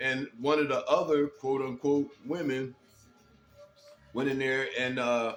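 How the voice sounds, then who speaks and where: Music plays behind a man with an American accent and medium pitch. He speaks in a monotone, flat intonation at a fairly slow pace, with long, frequent pauses. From Detroit, US Midwest. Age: 60s. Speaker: commentary vlogger. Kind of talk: casual monologue commentary. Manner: hesitant, many fillers and repeats.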